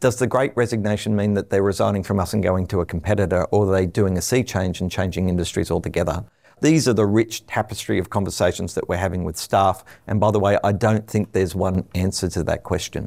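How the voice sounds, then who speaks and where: This man, with an Australian accent, talks at a very fast pace in a fairly low pitch with fairly even intonation. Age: 50s. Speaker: telecom executive. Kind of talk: interview.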